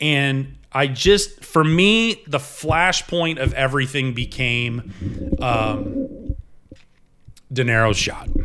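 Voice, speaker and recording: Lively intonation marks this man's very slow delivery. Noticeable background noise is present. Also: fairly high pitch for a man. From upstate New York and Ohio. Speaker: sports broadcaster. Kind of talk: casual chat. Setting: kitchen table.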